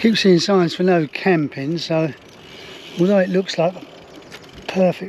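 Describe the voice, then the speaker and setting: The speaker has an English accent and a fairly even intonation. The pace is fairly slow, with noticeable background noise. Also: man. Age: 70s. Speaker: touring cyclist vlogger. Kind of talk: casual vlog narration. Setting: outdoors on a trike.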